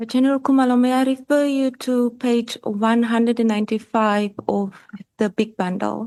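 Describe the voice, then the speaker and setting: Soft-spoken and very even in loudness, a woman with a fairly high pitch and a dark, mellow tone talks at a moderate pace with fairly even intonation. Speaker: evidence leader at parliamentary committee. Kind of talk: formal questioning at hearing. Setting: parliamentary committee hearing. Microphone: microphone lowered, too quiet.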